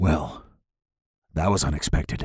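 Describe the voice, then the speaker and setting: A man puts on a raspy character voice. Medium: read story.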